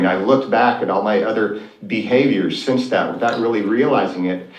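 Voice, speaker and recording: With an American accent, a man talks very fast in a fairly low pitch and fairly even intonation, with audible room echo and noticeable background noise. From Oklahoma, US. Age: 60s. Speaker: financial advisor. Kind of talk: interview storytelling.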